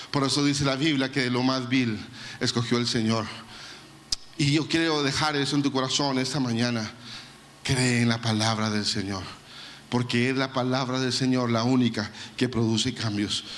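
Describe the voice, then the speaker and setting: Amid noticeable background noise and audible room echo, a man speaks with very even loudness and fairly even intonation, taking long, frequent pauses. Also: medium pitch for a man, moderate pace. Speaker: pastor. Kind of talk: sermon.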